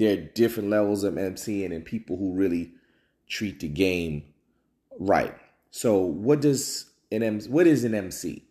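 In a very clean recording with a silent background, a man with an American accent speaks fairly slowly in a fairly low, dark, mellow voice, his intonation lively and broken by long, frequent pauses. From New Jersey. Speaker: podcast host. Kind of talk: solo commentary podcast. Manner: casual, with many fillers and repeats.

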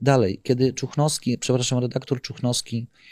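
A man with an unremarkable speaking voice, medium pitch, moderate pace, and a dry, close sound with no echo. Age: 50s. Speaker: whistleblower, former corporate security manager. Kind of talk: interview.

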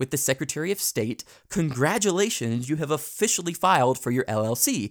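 An unremarkable speaking voice, a man's, with lively intonation and a moderate pace, sounds dry and close with no echo on a very clean recording against a silent background. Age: 20s. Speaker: podcast host. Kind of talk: tutorial.

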